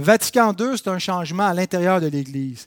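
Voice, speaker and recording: A man speaks in a high voice with ordinary pitch variation, the sound dry and close with no echo. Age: 30s. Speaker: church history teacher. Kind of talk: lecture. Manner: halting.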